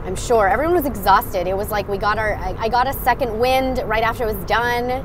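A woman speaks fairly quickly with ordinary pitch variation, the sound dry with no echo, though noticeable background noise comes through. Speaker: livestreamer. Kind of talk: casual vlog chat. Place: car. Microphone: earbuds.

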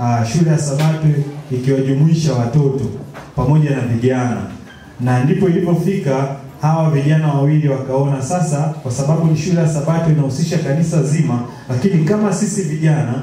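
A man's fairly quick delivery with fairly even intonation and very even loudness, plus audible room echo. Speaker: presenter. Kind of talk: history talk to congregation.

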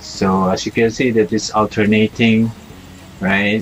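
A man talks in a monotone, flat way. Faint music plays in the background. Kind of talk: site tour commentary. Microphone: phone near.

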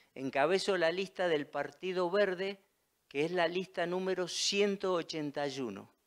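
High-pitched male speech over a quiet background. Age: 60s. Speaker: local council candidate; council candidate. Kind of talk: candidate statement interview. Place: studio. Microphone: handheld.

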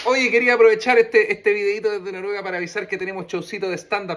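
A man speaks with a Chilean accent. His pitch varies in an ordinary way. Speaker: podcast host and comedian; podcast host, comedian. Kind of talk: casual chat. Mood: cheerful, joking. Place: home room. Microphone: phone near.

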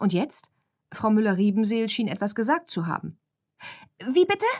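A woman talks at a medium pitch. The recording is very clean and the background silent. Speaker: audiobook narrator. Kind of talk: audiobook reading, bedtime story for children. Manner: animated, expressive storytelling with character voices.

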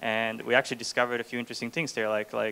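In a Swedish accent, a man speaks at medium pitch with a bright, sharp tone and monotone, flat intonation. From Sweden. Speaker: startup co-founder and CTO; speaker. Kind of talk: talk to audience. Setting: stage with audience. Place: hall. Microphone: handheld.

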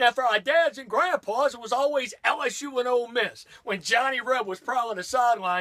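With an American accent, a man speaks in a raised, projected voice at an extremely high pitch, using an animated tone, ordinary pitch variation and a moderate pace with hardly any pauses. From US South, Louisiana. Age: 50s. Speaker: sports radio host. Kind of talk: angry comedic rant about college football fans. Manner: animated, indignant, sarcastic. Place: studio. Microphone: camera far.

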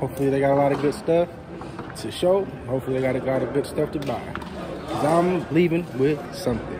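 Delivered at a moderate pace with an American accent, the speech comes over noticeable background noise. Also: man. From California. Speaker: vlogger. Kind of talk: casual vlog to camera. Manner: animated.

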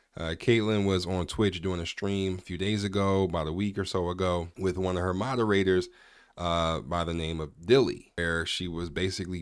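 Delivered at a moderate pace with fairly even intonation, the speech has a dry sound with no echo and a quiet background. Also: man. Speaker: reaction commentary youtuber. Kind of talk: commentary. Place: home room. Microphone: studio mic.

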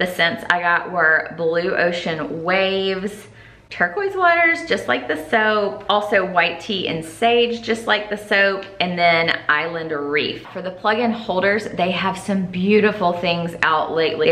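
The speech moves at a fairly slow pace with ordinary pitch variation. Room echo is audible. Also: woman. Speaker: lifestyle vlogger. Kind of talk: casual haul vlog chat. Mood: cheerful and enthusiastic. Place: home room.

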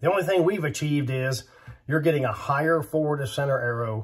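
A man's somewhat breathy, fairly high voice with lively intonation at a moderate pace. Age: 50s. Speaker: bowhunting YouTuber. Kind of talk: casual monologue.

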